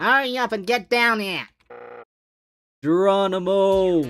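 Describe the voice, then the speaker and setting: A put-on character voice from a man, pitched high and delivered fairly slowly. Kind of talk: comic overacting. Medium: game stream. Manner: old-timey mobster talk ending lines with "see".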